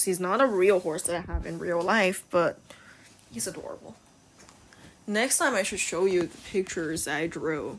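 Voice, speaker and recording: The speaker has a Chinese accent. The pace is moderate. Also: woman. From China. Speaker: video game streamer and horse lover. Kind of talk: casual vlog commentary.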